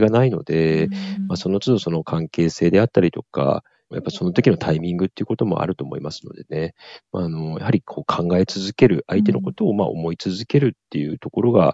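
Speaking very fast, a man with a very deep, low pitch shows big swings in loudness. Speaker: cancer survivor and nonprofit founder. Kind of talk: interview. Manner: polite, with frequent fillers.

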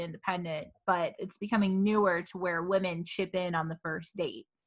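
A woman speaks at a moderate pace and medium pitch, with a normal speaking voice. The background is quiet. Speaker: podcast co-host. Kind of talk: casual chat.

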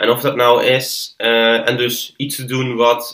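This man speaks at a medium pitch. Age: 20s. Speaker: filmmaker and podcast maker. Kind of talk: interview conversation. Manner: halting, many fillers and repetitions.

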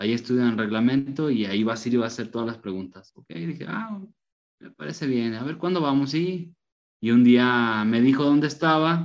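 A man with a normal speaking voice talks at a medium pitch and a moderate pace. His intonation is lively and his loudness swings widely. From Mexico, León, Guanajuato. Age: 30s. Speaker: football referee and tortilla shop owner. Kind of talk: interview.

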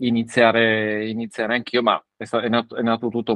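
A man speaks at a medium pitch. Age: 30s. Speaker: father and parenting social media creator. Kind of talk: casual chat. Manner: halting, with frequent repetitions.

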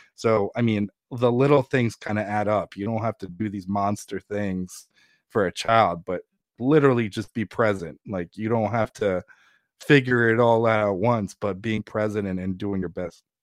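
In an ordinary speaking voice, a man with an American accent talks at a moderate pace, with fairly low pitch and fairly even intonation, over a quiet background in a dry, close sound with no echo. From Ukraine, raised partly in New Jersey. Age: 30s. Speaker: Ukrainian immigrant and father. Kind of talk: casual interview conversation.

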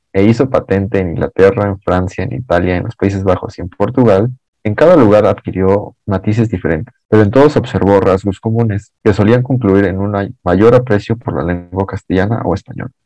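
Dry and close with no echo, a man's dark, mellow voice sits at a fairly low pitch, moving at a fairly quick pace with ordinary pitch variation. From Mexico City. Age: 20s. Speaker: podcast guest. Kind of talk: reading aloud.

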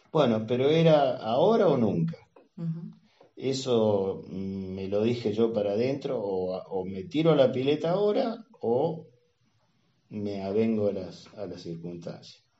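Speaking at a fairly slow pace, a man with a medium pitch uses lively intonation and big swings in loudness. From Argentina, northern Santa Fe province. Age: 60s. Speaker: retired engineer. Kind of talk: interview. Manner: halting.

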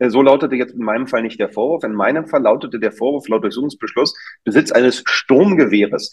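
A man's pitch varies in an ordinary way as his words pour out at a very fast pace. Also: medium pitch for a man. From Germany, Berlin. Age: middle-aged. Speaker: doctor. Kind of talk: interview. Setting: video call. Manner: animated.

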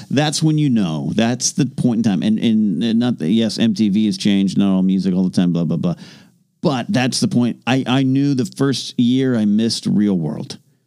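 This man has a medium pitch and a dark, mellow tone. His intonation is lively and his pace moderate. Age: 40s. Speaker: podcast co-host. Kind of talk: casual chat.

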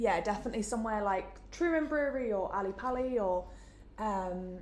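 A woman with a Geordie accent at a moderate pace. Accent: Geordie, northern English. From Newcastle, northern England. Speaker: events student, marketing placement. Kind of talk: casual interview. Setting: in-person room recording.

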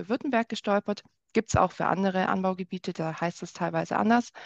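A woman's medium-pitched voice at a very fast pace, fairly even in intonation, dry and close with no echo against a quiet background. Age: 30s. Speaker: wine experience guide. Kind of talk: casual interview.

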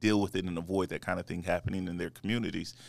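Very clean and silent in the background, the recording holds a man's very deep, low voice. He speaks in an American accent with flat, monotone intonation. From California. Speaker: civil rights attorney and political candidate. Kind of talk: interview.

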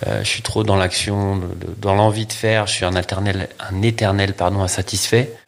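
A man's fairly low-pitched, monotone, flat delivery at a moderate pace, hardly any pauses, and noticeable background noise behind him. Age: 40s. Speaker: photographer. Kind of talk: interview.

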